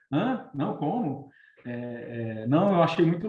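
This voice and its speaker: Lively in intonation, a man speaks in a dark, mellow tone with audible room echo. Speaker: recruitment consultant. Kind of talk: online webinar talk. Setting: live video stream. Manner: fast.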